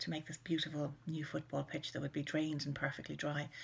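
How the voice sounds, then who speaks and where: In an Irish accent, a woman talks very fast in a very deep, low, somewhat breathy voice. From Ireland. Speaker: children's author. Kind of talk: personal reminiscence to camera. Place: home room. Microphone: webcam.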